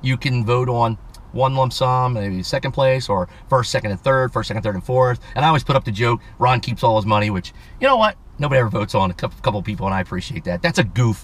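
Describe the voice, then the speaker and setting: A man at a medium pitch, very fast and animated in tone, somewhat breathy, with ordinary pitch variation. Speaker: automotive YouTuber. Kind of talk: casual vlog, giveaway announcement.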